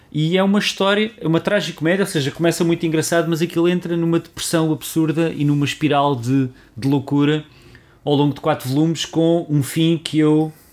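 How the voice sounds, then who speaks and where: Speaking fairly quickly, a man with an unremarkable speaking voice holds a fairly high pitch and fairly even intonation. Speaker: podcast co-host. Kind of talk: casual chat.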